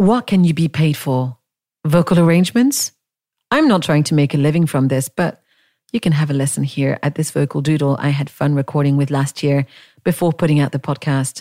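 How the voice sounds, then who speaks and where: A woman speaks with a very deep, low pitch, a dark, mellow tone, very even loudness and ordinary pitch variation. The recording is very clean, with a silent background and a dry, close sound with no echo. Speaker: podcast host. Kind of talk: solo reading of own blog post.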